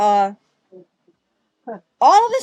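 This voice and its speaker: Here a woman speaks with an American accent at a fairly high pitch. The sound is dry and close with no echo. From US Mid-Atlantic, Baltimore, Maryland. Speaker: gathering volunteer. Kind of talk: personal storytelling.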